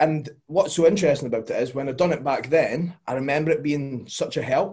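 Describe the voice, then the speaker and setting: A man with a Scottish accent talks at a fairly quick pace in a somewhat breathy voice. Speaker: podcast guest, fitness coach. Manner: relaxed, casual.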